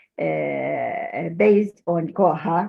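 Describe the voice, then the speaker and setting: A woman speaks with an Arabic accent. Her voice has vocal fry. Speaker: manuscripts expert. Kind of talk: presentation. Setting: video call. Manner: halting, many fillers.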